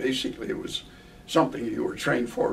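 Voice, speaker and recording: Noticeable background noise surrounds a man speaking with an American accent. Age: 80s+. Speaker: war veteran, retired professor. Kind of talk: interview answer.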